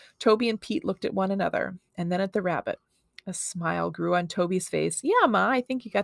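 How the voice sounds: Natural reading voice, quiet background.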